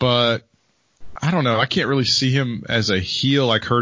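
A man with an unremarkable speaking voice and medium pitch talks at a fairly quick pace. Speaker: wrestling podcast host. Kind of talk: casual comedic banter.

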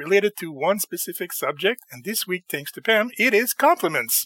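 High-pitched male voice, bright and sharp in tone, with lively intonation at a moderate pace and a dry, close sound with no echo.

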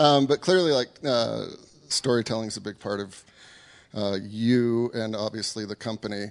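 A man uses a normal speaking voice at a medium pitch, moving at a moderate pace with ordinary pitch variation. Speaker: interviewer host. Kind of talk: live interview.

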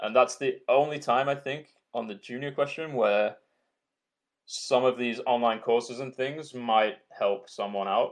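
Against a quiet background, a man with a Yorkshire accent speaks at a fairly slow pace in a medium pitch. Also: fairly even intonation. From Yorkshire, England.

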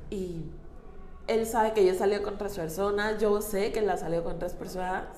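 A woman speaking at a moderate pace amid noticeable background noise and audible room echo. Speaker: interviewee sharing experience of abusive relationship. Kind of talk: testimony.

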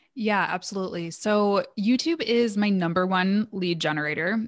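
A woman's plain, everyday voice at a medium pitch, moderate in pace with ordinary pitch variation, in a very clean recording with a silent background. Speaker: marketing agency owner and business coach. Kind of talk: casual interview.

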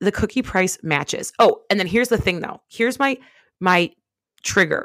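A woman at a moderate pace with lively intonation, in a dry, close recording with no echo, very clean with a silent background. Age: 20s. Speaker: podcast co-host, freelance social media marketer. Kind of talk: casual chat.

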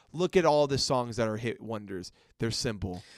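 A man talking at a fairly quick pace with very wide pitch swings. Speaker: podcast host. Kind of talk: casual chat. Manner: casual, laid-back.

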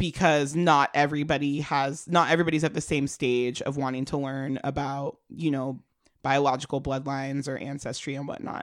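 The tone is playful and the pace fairly quick. Intonation stays monotone and flat. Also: woman. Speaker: podcast co-host giving advice. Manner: playful, laughs often.

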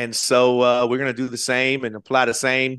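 With an American accent and a normal speaking voice, a man talks at a moderate pace and medium pitch against a quiet background. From US South, Florida Panhandle. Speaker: pastor and football chaplain. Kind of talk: casual interview chat.

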